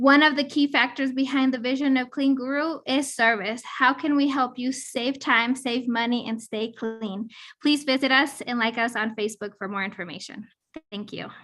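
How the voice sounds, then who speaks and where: On a very clean recording with a silent background, a shaky voice with a bright, sharp tone moves at a moderate pace with fairly even intonation. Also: woman, high pitch for a woman. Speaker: entrepreneur. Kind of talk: pitch; casual chat.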